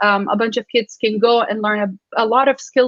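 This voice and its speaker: A woman with an Iraqi accent talks at a moderate pace in a fairly high voice with fairly even intonation. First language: Arabic. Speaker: science communicator. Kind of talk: panel discussion.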